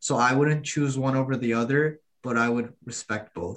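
A man's medium-pitched voice, an ordinary speaking voice, moves at a moderate pace, its pitch varying in an ordinary way. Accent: American. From US, migrated from Turkey as child. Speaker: college student, podcast panelist. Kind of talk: casual chat.

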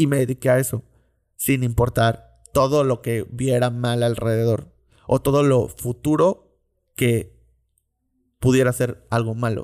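In a dry, close sound with no echo, a man of medium pitch talks at a fairly slow pace with fairly even intonation and long, frequent pauses. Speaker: podcast host. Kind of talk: monologue.

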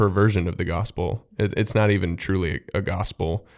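With an unremarkable speaking voice, a man talks fairly low in pitch with ordinary pitch variation, captured in a very clean recording against a silent background. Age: 20s. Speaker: podcast co-host. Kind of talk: casual chat.

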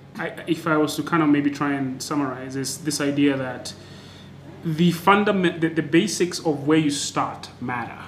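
A man's fairly high voice at a moderate pace, fairly even in intonation, amid noticeable background noise. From Kenya, Nairobi. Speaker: podcast host. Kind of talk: scripted intro; interview. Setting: noisy temporary recording location.

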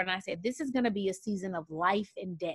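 On a very clean recording with a silent background, a woman of medium pitch with an unremarkable speaking voice talks at a fairly quick pace, the sound dry and close with no echo. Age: 30s. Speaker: teacher, speaker and coach. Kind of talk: casual chat.

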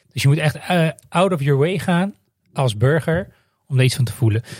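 Here is a man with a fairly high pitch and lively intonation. His voice is somewhat breathy. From Netherlands. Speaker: podcast host. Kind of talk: scripted monologue.

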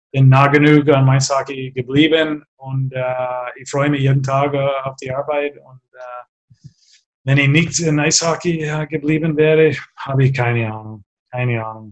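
A man with an English accent, fairly high-pitched and flat in a monotone, speaking fairly slowly with big swings in loudness. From Canada. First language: English (speaking German). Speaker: former ice hockey player and coach. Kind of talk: interview. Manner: halting, many fillers.

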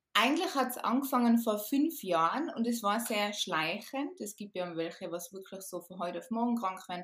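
An ordinary speaking voice from a woman, with lively intonation at a moderate pace. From Austria, Tyrol. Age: 30s. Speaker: podcast guest recovered from chronic fatigue. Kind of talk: casual interview chat.

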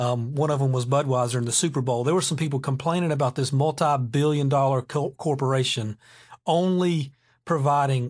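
With an ordinary speaking voice, a man of medium pitch talks at a moderate pace with fairly even intonation over a quiet background. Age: 40s. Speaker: podcast host. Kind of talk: solo casual monologue.

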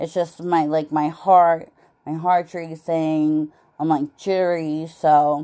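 In a dark, mellow tone at a fairly low pitch, a woman speaks very slowly with monotone, flat intonation. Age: 40s. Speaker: podcaster. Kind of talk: personal monologue. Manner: halting, many fillers.

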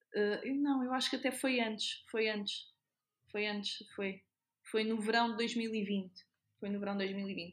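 A somewhat breathy woman speaks at a fairly slow pace, leaving long, frequent pauses. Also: fairly high pitch for a woman, fairly even intonation. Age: 30s. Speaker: nurse. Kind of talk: casual interview.

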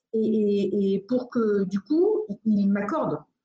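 Somewhat breathy delivery and a dark, mellow tone mark this voice. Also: woman. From United States. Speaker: entrepreneur, venue founder. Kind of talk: interview. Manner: hesitant, many fillers and repetitions.

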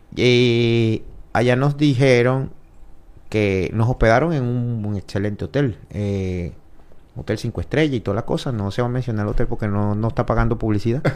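A man with a normal speaking voice, medium pitch, ordinary pitch variation and a moderate pace, in a very clean recording with a silent background. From Venezuela. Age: 30s. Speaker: mixed martial arts fighter. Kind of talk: casual interview.

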